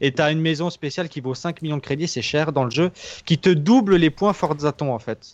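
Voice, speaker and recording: A man at a moderate pace, ordinary pitch variation, dry, close sound with no echo. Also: fairly high pitch for a man. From Alsace, France. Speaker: podcast co-host. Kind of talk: casual chat.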